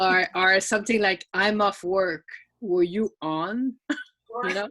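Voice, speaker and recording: A woman's medium-pitched voice with a French accent, very slow, with fairly even intonation, a bright, sharp tone and a dry, close sound with no echo. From France. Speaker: event participant. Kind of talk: casual chat. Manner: halting.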